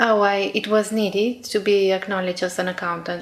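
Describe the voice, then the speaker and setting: With a Romanian accent, a woman speaks at a moderate pace in a flat monotone at a medium pitch. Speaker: exam candidate. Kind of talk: speaking test interview. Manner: hesitant.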